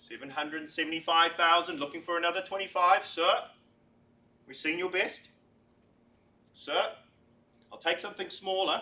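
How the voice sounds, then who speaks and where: This man talks with a high pitch and a bright, sharp, upbeat tone. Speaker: real estate auctioneer. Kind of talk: live auction calling, competition. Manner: upbeat, encouraging.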